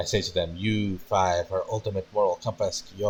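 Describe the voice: The text is read out plainly. It is plain reading aloud.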